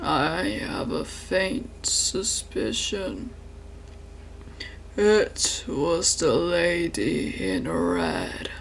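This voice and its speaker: Over clear background noise, a man performs a put-on character voice at a very slow pace. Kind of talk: archaic gothic monologue. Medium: solo performance. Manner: formal, measured, somber.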